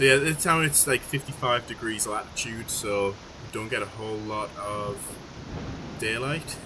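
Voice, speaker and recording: In a Geordie accent, a man speaks at medium pitch with ordinary pitch variation. Noticeable background noise runs underneath. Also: moderate pace. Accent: Geordie, sometimes mistaken for Scottish. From northern England, Newcastle. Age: 30s. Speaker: game developer streamer. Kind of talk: live stream chat while playtesting. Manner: casual, hesitant with fillers.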